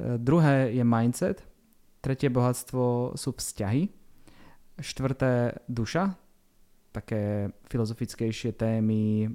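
Very clean and silent in the background, this recording has a man speaking at a very slow pace with long, frequent pauses. His medium-pitched voice has a dark, mellow tone and ordinary pitch variation. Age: 40s. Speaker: podcast host. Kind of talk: casual interview.

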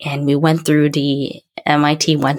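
The woman's voice sits at a very deep, low pitch. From Taiwan. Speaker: startup founder and CEO. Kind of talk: interview. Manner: hesitant, many fillers.

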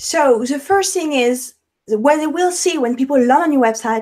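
With a French accent, a woman speaks with lively intonation. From France, Paris. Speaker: web developer and entrepreneur. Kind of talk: interview. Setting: video call. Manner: halting.

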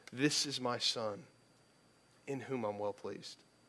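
A man puts on a booming character voice at medium pitch, speaking at a moderate pace.

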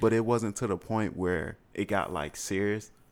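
A man with an American accent has an unremarkable speaking voice at a fairly low pitch with ordinary pitch variation. The recording is very clean, with a silent background. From Chicago, Uptown. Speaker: interview guest. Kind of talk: casual interview.

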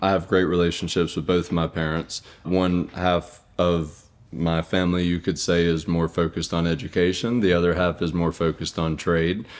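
A man speaks at a very deep, low pitch. His intonation is monotone and flat, his loudness very even. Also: moderate pace. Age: 20s. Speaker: haunted attraction owner. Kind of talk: interview. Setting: on location at the haunt.

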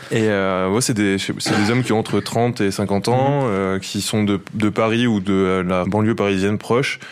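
Over noticeable background noise, a man speaks fairly slowly at a fairly low pitch, his intonation fairly even and his loudness very even. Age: 20s. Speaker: football journalist. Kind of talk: field report.

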